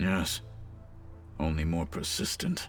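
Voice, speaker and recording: A man performs a raspy, put-on character voice. Clear music plays in the background. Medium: video game. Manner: formal, measured.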